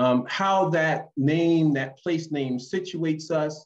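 A man with an American accent speaks at a very slow pace, his pitch rising and falling in an ordinary way over a quiet background. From Philadelphia, US. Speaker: geography professor. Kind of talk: lecture. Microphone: webcam.

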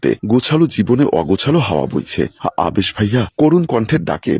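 An unforced reading voice, its intonation lively

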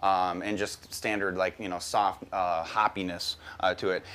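At a fairly slow pace, a man speaks with an American accent. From US Midwest. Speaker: brewing instructor. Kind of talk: tutorial. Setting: outdoors. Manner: casual, relaxed. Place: garden. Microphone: lapel.

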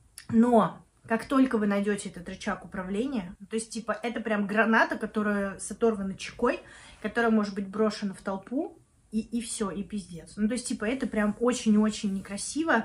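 Fairly high-pitched, a woman talks at a moderate pace with ordinary pitch variation. Her loudness swings widely. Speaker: video blogger and project manager. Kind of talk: casual vlog monologue. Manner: casual with many fillers.

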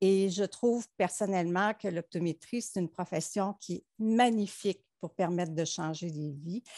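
A woman's dark, mellow tone at a fairly slow pace, with ordinary pitch variation, hardly any pauses, a dry sound with no echo and a quiet background. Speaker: optometrist; panelist. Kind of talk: panel discussion. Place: home room. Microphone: headset.

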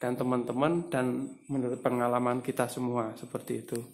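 Here a man is speaking. His pace is moderate. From East Java, Tulungagung; East Java. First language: Javanese (speaking Indonesian). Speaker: bird seller and bird-care youtuber; bird seller, bird-care youtuber. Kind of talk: tutorial. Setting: room with bird cages. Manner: halting, many fillers. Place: home room. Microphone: phone near.

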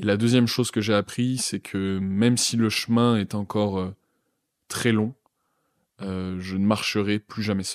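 A man with a fairly low voice speaks at a fairly slow pace in a flat monotone, leaving long, frequent pauses, on a very clean recording with a silent background and a dry, close sound with no echo. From France, Grenoble suburbs. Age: 20s. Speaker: psychology student. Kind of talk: testimony. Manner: hesitant, many fillers.

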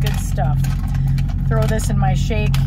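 A woman speaks over loud background noise, the sound dry with no echo. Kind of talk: casual vlog chat. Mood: relaxed, chatty. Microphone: phone near.

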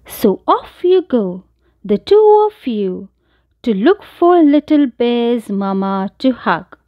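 Plain reading aloud is heard with a quiet background.

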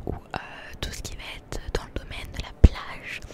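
A soft-spoken woman whispers at a fairly slow pace. Her voice is dry with no echo, but the background noise is loud. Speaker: ASMR content creator. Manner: soft close-mic ASMR whisper. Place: shop. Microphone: handheld.

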